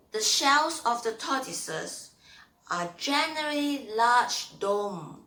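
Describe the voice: Bright and sharp, a woman's fairly high voice moves slowly with lively intonation through audible room echo.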